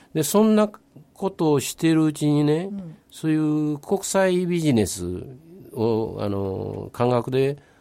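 Speaking in a Kobe accent, a man with a dark, mellow tone and a fairly high pitch talks at a fairly slow pace with very wide pitch swings, in a very clean recording with a silent background. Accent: Kansai (Kobe) dialect. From Nagata, Kobe, Japan. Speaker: retired businessman and local resident. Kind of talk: casual radio interview.

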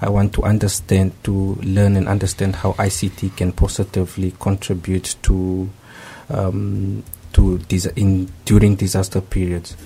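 A man talks at a very slow pace in a very deep, low pitch with flat, monotone intonation. The tone is dark and mellow, and somewhat breathy. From Namibia. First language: not Japanese (speaking Japanese). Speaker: graduate student, former network engineer. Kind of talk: radio interview. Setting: radio studio. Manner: halting.

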